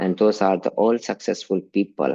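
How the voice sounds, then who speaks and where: Speaking with an Indian accent, a man uses a fairly low pitch and ordinary pitch variation at a fairly slow pace. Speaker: religious teacher. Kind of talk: online class lecture.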